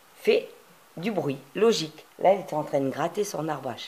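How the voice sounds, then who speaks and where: A woman talks at a fairly slow pace with ordinary pitch variation, and noticeable background noise runs underneath. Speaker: crafting youtuber. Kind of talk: tutorial. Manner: hesitant, many fillers.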